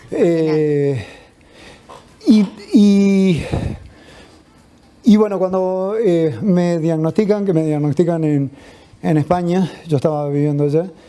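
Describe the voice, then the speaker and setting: A man with a high pitch talks at a very slow pace, with ordinary pitch variation and long, frequent pauses. Noticeable background noise sits behind him. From Uruguay. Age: 60s. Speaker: patient activist awaiting lung transplant. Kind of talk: personal testimony.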